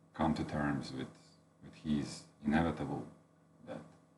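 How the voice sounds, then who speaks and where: A man with a Latvian accent, very deep and low in pitch, with vocal fry, monotone flat intonation, a fairly slow pace and audible room echo. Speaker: book reviewer. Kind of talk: unscripted book review. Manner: halting, many fillers.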